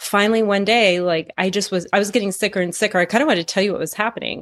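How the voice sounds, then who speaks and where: A woman talks with ordinary pitch variation in a very clean recording with a silent background. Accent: American. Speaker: health practitioner with PhD. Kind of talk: personal testimony in interview. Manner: fast.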